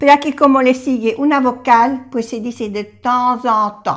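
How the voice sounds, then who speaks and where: Speaking fairly slowly, a woman uses a high pitch with ordinary pitch variation. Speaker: French teacher. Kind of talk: cooking language lesson to camera. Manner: warm, friendly.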